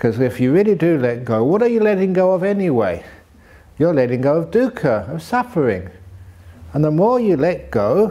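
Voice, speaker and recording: This man's tone is dark and mellow, and his pitch swings very widely. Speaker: monk teacher. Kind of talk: dharma talk to retreat audience. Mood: warm, humorous, laughing. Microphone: studio mic.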